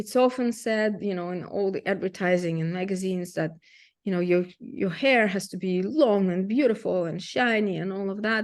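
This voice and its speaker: Against a quiet background, a woman with a Russian accent speaks with ordinary pitch variation. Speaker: photographer. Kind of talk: presentation. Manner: halting.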